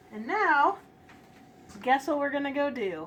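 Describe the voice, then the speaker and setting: A woman's voice with an American accent and lively intonation. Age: 20s. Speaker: baker and bakery owner. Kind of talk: tutorial. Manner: hesitant with fillers.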